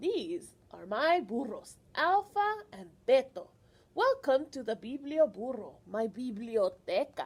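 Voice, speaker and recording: A put-on character voice is used here. It moves at a fairly slow pace. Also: woman, high pitch for a woman. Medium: read story.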